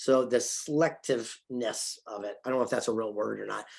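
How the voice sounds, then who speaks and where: Over a quiet background, a man with an ordinary speaking voice and medium pitch talks at a fairly quick pace. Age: 60s. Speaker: author and film producer. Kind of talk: interview. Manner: repeats words often.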